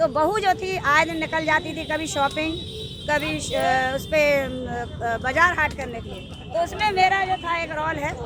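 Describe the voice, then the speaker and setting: Woman's extremely high voice with ordinary pitch variation, crowd noise in the background. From Bundelkhand, Uttar Pradesh (Jhansi). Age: 60s. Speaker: folk artist and social worker. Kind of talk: interview.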